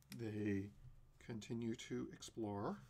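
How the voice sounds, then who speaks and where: A man is speaking. His voice has vocal fry. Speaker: game designer streaming a playtest. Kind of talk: solo live stream playtest narration. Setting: live stream.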